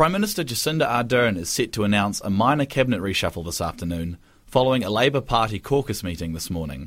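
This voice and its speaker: A man in a New Zealand accent at a medium pitch, very fast with hardly any pauses and very wide pitch swings, on a very clean recording with a silent background. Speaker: radio newsreader. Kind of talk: news reading, scripted bulletin. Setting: radio studio. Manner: formal, brisk, even-paced; occasionally stumbles and self-corrects.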